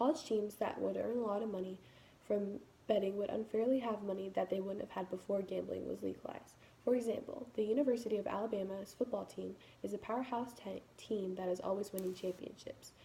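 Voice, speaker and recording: Speaking at a fairly quick pace, a woman uses a medium pitch with vocal fry, a dark, mellow tone and fairly even intonation. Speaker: college student. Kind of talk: class speech. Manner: fast.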